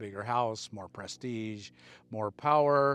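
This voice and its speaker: In a very clean recording with a silent background, a man uses a normal speaking voice at a fairly slow pace with ordinary pitch variation. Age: 60s. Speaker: motivational speaker. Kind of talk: casual monologue. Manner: earnest.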